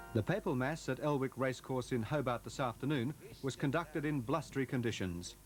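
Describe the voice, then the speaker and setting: A man speaks at a medium pitch and a fairly quick pace. His loudness stays very even, with music in the background. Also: ordinary pitch variation. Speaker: news reporter. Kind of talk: television news report narration.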